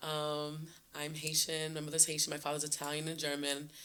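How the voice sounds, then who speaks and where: A woman with a very deep, low voice sounds animated, her tone bright and sharp. Audible room echo surrounds her. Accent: American. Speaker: teacher. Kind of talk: casual interview chat.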